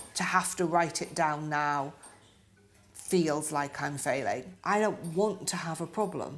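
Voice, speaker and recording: With music in the background, a woman with a British accent speaks at a fairly slow pace in a very deep, low pitch. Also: ordinary pitch variation. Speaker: stroke survivor. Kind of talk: interview. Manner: halting.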